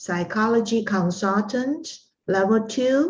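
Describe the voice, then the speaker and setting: A woman speaks with a Taiwanese accent and ordinary pitch variation. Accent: Taiwanese Mandarin-accented English. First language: Mandarin. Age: 60s. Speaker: art instructor and psychology consultant. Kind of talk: interview. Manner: halting, many fillers.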